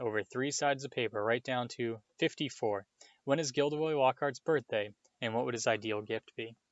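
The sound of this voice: Unforced reading, normal pitch movement, hushed surroundings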